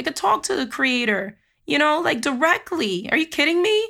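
A woman's raised, projected voice comes across animated, with a bright, sharp tone and a fairly slow pace, on a very clean recording with a silent background. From Jamaica. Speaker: spiritual coach podcast host. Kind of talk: podcast monologue.

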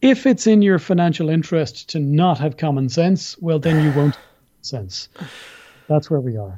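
A man with an Irish accent speaks at a moderate pace in a fairly high pitch, his dark, mellow tone moving through very wide pitch swings. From Ireland. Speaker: civil liberties litigator. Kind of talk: interview.

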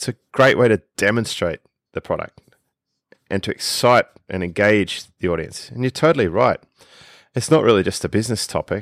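A man's medium-pitched voice with an Australian accent, lively intonation and long, frequent pauses at a moderate pace, dry and close with no echo on a very clean recording with a silent background. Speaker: podcast co-host, online business coach. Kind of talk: casual chat.

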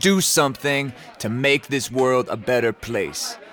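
An enthusiastic, warm tone comes from a man speaking over noticeable background noise. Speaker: open mic podcast host. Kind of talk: podcast hosting, commentary.

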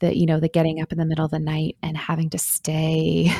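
A soft-spoken woman with a very deep, low pitch. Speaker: author. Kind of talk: interview.

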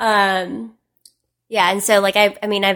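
This woman has an ordinary speaking voice with a medium pitch and a moderate pace. The recording is very clean, with a silent background. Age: 20s. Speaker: digital marketer and social media influencer. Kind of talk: casual chat.

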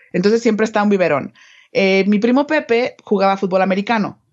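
Here a woman uses a normal speaking voice at a medium pitch with ordinary pitch variation. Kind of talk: casual explanation.

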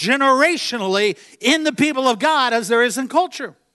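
Bright and sharp in tone, a man with an American accent speaks at an extremely high pitch with lively intonation. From Virginia, US. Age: 50s. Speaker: traveling preacher. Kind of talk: sermon. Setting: church.

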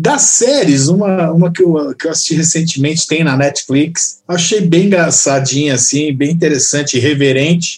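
A man's fairly high, somewhat breathy voice moves at a moderate pace with fairly even intonation. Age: 40s. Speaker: rock guitarist and songwriter. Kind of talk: casual chat.

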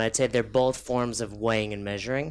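A man speaks at a moderate pace in a plain, everyday voice. His pitch sits in the medium range and varies in an ordinary way. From New York. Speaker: fitness coach. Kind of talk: casual chat.

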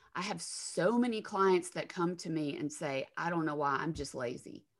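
A woman speaks with a Southern US accent. Her pace is moderate. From Alabama, US South. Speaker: counselor and former attorney. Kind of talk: casual interview.

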